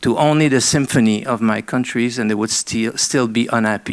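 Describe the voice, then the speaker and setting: Fairly even intonation marks this man's speech in a French Canadian accent. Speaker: arts council CEO. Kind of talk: panel presentation. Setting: seminar with audience. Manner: halting, many fillers.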